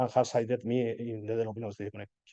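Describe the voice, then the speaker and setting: Fairly quick in pace, a man talks at medium pitch in a dark, mellow tone. His intonation stays fairly even. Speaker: conference presenter, software developer. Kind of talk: conference talk. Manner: halting, many fillers and repetitions.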